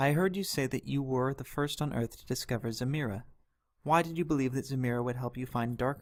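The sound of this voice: An unforced reading voice with ordinary pitch variation plays over a quiet background.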